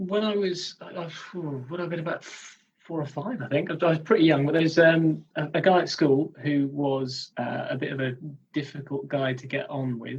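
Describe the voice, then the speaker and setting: This man has a plain, everyday voice, fairly high in pitch, with ordinary pitch variation at a moderate pace. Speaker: comedian and wrestling commentator. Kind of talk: interview answer.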